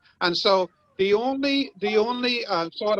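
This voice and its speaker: The sound is dry and close with no echo as a man talks with ordinary pitch variation. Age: 70s. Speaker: human rights activist. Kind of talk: online summit comment. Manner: halting.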